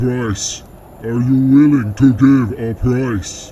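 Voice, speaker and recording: Putting on a character voice, a man speaks very slowly at a medium pitch over clear background noise. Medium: read story. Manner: terse, broken phrasing.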